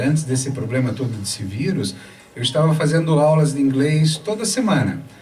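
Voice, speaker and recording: Over noticeable background noise and audible room echo, a man with a fairly high pitch speaks at a moderate pace. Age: 60s. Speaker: gynecologist. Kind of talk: casual chat.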